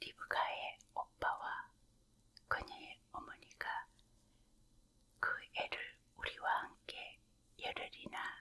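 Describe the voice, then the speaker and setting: Someone is whispering. The pace is very slow. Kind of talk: scripture narration reading. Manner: whispered, soft.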